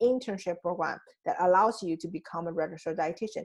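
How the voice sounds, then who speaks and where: A woman with a Chinese accent talks at a moderate pace and medium pitch, with ordinary pitch variation, over a quiet background. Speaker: life coach. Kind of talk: coaching talk. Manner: halting, with frequent restarts.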